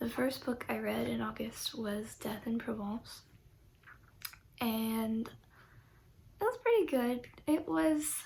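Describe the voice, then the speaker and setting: A soft-spoken woman at a very slow pace, with noticeable background noise. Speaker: book reviewer. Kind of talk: casual chat. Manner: halting.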